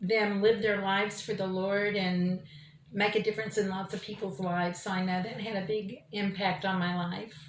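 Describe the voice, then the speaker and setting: A woman with an American accent speaks in a bright, sharp tone at medium pitch, keeping her intonation fairly even. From Oklahoma City. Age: 60s. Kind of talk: interview testimony. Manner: hesitant with fillers.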